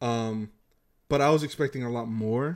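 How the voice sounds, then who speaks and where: Pitched at a medium level, a man uses a normal speaking voice and ordinary pitch variation. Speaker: podcast host. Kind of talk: casual chat about movies. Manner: rambling, self-correcting, repeats words.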